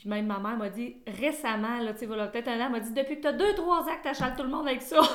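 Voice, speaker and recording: Speaking at a very fast pace with hardly any pauses, a woman uses a high pitch, lively intonation and an animated tone. Audible room echo and noticeable background noise surround her voice. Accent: Quebec. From Quebec, Sherbrooke. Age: 40s. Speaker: midwife. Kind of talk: interview.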